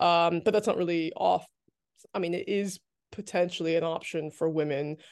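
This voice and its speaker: A woman with an American accent talks at a fairly quick pace in a plain, everyday voice, fairly low in pitch with fairly even intonation, over a quiet background. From New Jersey, US. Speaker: author and activist. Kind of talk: casual interview chat.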